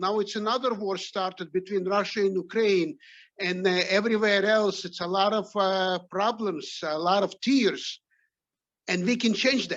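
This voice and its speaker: A man's high-pitched voice with a non-native accent, against a quiet background. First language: not English. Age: 60s. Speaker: top sales rep. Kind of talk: motivational speech. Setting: video call.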